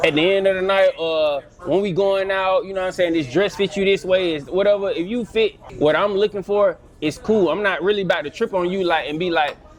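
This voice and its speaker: Noticeable background noise accompanies a man speaking at a high pitch and a fairly quick pace with fairly even intonation. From Atlanta, Georgia. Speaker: fitness trainer. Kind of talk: casual chat.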